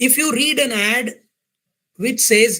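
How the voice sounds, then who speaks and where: His voice raised and projected, a man talks with a bright, sharp tone. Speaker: business coach and workshop speaker. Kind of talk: workshop lecture. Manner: animated, conversational.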